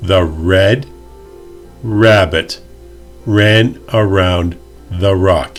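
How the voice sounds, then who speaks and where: A man with a very deep, low voice, speaking at a very slow pace with ordinary pitch variation and long, frequent pauses, over music in the background. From Canada. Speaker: English pronunciation teacher. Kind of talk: pronunciation lesson to camera. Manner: clear, slow.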